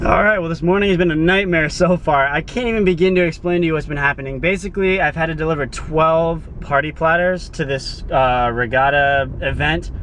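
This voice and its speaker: A man with a fairly high pitch and ordinary pitch variation talks at a fairly quick pace with hardly any pauses over noticeable background noise. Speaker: vlogger, delivery driver. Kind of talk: casual video diary. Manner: loud, yelling.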